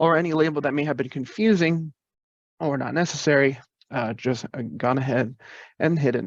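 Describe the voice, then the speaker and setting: Very fast and fairly high-pitched, a man talks against a quiet background in a dry sound with no echo. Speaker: IT staff presenter; presenter. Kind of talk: virtual presentation with Q&A. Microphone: webcam.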